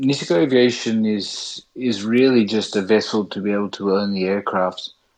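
An Australian-accented man talks with hardly any pauses and ordinary pitch variation. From Sydney, Australia. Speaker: pilot and backcountry ski operator. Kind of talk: casual interview chat. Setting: video call.

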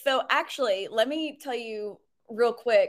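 A woman's high-pitched voice is raised and projected, with a bright, sharp tone. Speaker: web designer and business owner. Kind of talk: casual interview.

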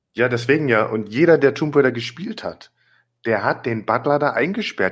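This man has a plain, everyday voice at medium pitch. His intonation is lively. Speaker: podcast co-host. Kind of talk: casual chat. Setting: remote recording over the internet.

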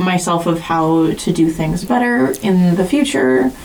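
There is noticeable background noise behind this woman's fairly low pitch. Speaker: podcast host and teacher. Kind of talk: casual chat.

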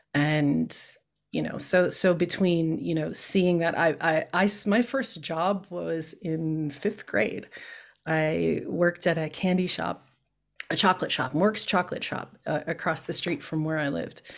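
A woman's unremarkable speaking voice with an American accent, fairly low in pitch, at a fairly slow pace. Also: ordinary pitch variation, very clean recording, silent background. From Chicago. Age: 50s. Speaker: political candidate. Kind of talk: interview.

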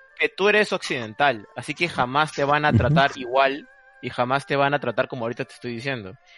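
Over music in the background, a man speaks at a very fast pace with fairly high pitch and ordinary pitch variation, in a dry, close sound with no echo. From Peru. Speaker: Japanese studies researcher. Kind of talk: casual interview.

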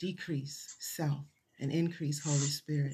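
A woman's very deep, low voice comes out somewhat breathy, in a dark, mellow tone with monotone, flat intonation. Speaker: preacher teaching the Bible. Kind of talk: Bible teaching sermon. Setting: church service, also streamed online.

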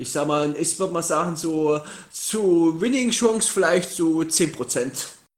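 A man's high-pitched voice at a very slow pace, with ordinary pitch variation. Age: 20s. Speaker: podcast guest, wrestling fan. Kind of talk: casual chat. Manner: halting.

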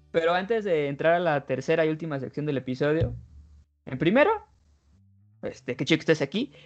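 A man with a Mexican accent speaks at a fairly quick pace in a fairly high pitch, with ordinary pitch variation, long, frequent pauses and music in the background. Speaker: podcast host. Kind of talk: casual chat.

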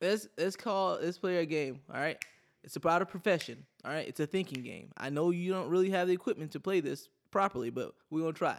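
In a very clean recording with a silent background, a man speaks at a high pitch and a fairly quick pace with ordinary pitch variation. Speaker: podcast co-host. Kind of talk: casual comedic banter.

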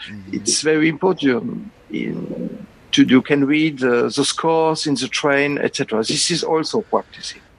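A man with a French accent speaks at a fairly slow pace in a fairly high pitch with lively intonation. Noticeable background noise can be heard. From France. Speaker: concert organist and music professor. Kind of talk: interview. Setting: online call. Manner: halting.

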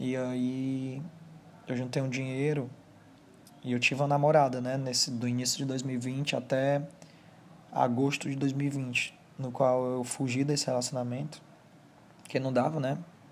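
Monotone, flat intonation marks a man speaking at a fairly slow pace with long, frequent pauses. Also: medium pitch for a man. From Brazil, Ceará (Fortaleza). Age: 20s. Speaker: first-time podcaster. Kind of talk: personal monologue. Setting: alone at home, sitting on bed. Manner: halting.

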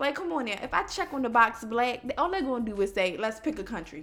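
A woman talks fairly quickly in a fairly high pitch, with very wide pitch swings. Noticeable background noise is present. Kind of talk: casual chat.

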